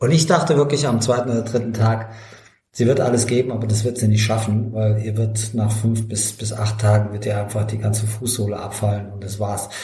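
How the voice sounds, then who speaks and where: With audible room echo and noticeable background noise, a man talks at a fairly quick pace with fairly even intonation and a fairly low pitch. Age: 60s. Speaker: ultrarunner and author. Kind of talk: casual chat.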